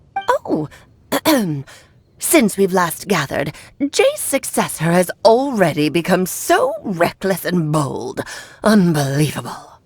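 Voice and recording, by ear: A woman's put-on character voice at a medium pitch, fairly slow in pace, with long, frequent pauses.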